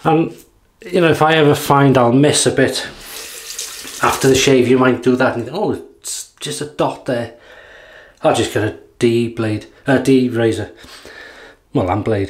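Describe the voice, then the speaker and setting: Moderate pace with long, frequent pauses, ordinary pitch variation, and a North Welsh accent over a quiet background. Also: man. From North Wales. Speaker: YouTube wet shaving reviewer; shaving vlogger. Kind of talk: casual product demo while shaving. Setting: home video recording. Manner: relaxed, chatty with fillers. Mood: relaxed, light-hearted. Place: bathroom. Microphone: phone near.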